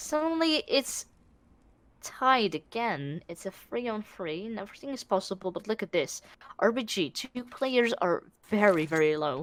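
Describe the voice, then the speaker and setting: A woman's fairly high voice at a moderate pace, with very wide pitch swings and big swings in loudness. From Netherlands. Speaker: esports caster. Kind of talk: live commentary. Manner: animated.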